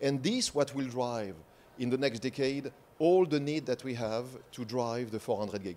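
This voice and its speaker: In a French accent, a man talks at a medium pitch with ordinary pitch variation. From France. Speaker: industry presenter. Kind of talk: conference presentation.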